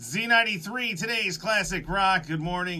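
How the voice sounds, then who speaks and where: Lively intonation comes through at a fairly quick pace. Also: man. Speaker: radio host. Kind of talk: radio show banter. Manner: fast.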